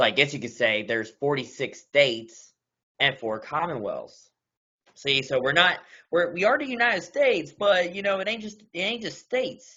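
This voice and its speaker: A man with a slight Southern US accent talks at a moderate pace in a high voice, his pitch swinging very widely. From US South, Kentucky (Louisville). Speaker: meeting chair. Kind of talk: casual meeting discussion.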